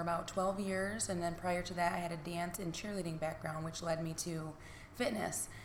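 Amid noticeable background noise and audible room echo, a woman with a Michigan accent speaks at a moderate pace in a fairly low, monotone, flat intonation. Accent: Michigan Midwestern American. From US Midwest (Niles, Michigan). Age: 30s. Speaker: fitness instructor and business owner. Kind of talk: casual interview.

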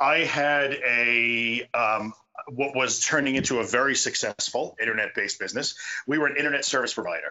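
A man speaks with a New York accent at a fairly quick pace. His intonation stays fairly even. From US Northeast, Long Island. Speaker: support group founder. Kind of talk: podcast interview. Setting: video call. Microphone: choppy, quiet remote recording.

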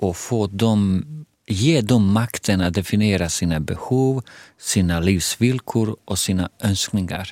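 In a Bosnian accent, a man talks at a fairly slow pace and fairly low pitch with ordinary pitch variation, on a very clean recording with a silent background. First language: Bosnian (speaking Swedish). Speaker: head of a Roma information centre. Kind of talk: casual conversation. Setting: studio.

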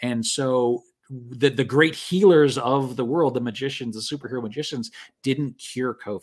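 In a normal speaking voice with a Canadian accent, the speaker talks at a moderate pace with ordinary pitch variation. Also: man, medium pitch for a man. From Canada. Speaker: game publisher and former local politician. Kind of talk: casual podcast conversation. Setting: live stream.

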